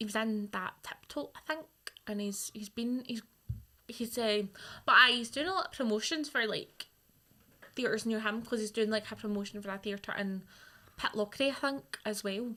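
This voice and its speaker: Pausing long and often, a woman with a bright, sharp tone and fairly high pitch speaks at a moderate pace. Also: ordinary pitch variation. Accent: Scottish. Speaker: radio presenter. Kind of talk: casual chat.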